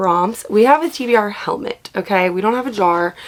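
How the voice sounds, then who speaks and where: A woman with an American accent talks with ordinary pitch variation against noticeable background noise. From US East Coast. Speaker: book youtuber and cheer coach. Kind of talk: casual vlog talk to camera.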